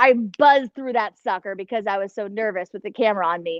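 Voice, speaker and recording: Here is a Cleveland accent with lively intonation at a moderate pace. The sound is dry and close with no echo, over a quiet background. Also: woman. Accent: Inland North US (Cleveland). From northeast Ohio (Cleveland). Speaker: TV meteorologist. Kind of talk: guest talk to a class. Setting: video call.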